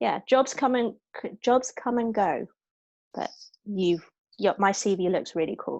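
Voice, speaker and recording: In a British accent, a woman speaks at a fairly slow pace with ordinary pitch variation over a quiet background. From Hong Kong. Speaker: actress. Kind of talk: interview.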